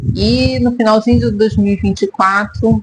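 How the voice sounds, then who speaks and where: A woman speaks at medium pitch and a moderate pace in an ordinary speaking voice. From Brazil, Rio de Janeiro. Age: 50s. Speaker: therapist and vlogger. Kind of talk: personal vlog monologue.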